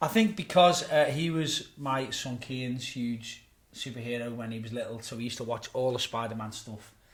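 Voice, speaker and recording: A man speaks with a medium pitch. His voice is somewhat breathy. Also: big swings in loudness. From Birkenhead, Merseyside, northern England. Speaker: pastor. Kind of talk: interview. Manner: hesitant, with filler words.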